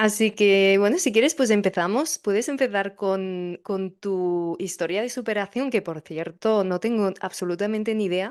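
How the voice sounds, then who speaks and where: Against a quiet background, a woman at medium pitch talks at a moderate pace with ordinary pitch variation and hardly any pauses. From Catalonia, Spain. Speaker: podcast co-host. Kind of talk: casual chat. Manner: animated.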